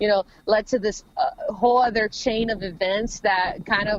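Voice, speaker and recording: A woman with an American accent, medium pitch and fairly even intonation. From Los Angeles, California. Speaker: rapper. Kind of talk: interview.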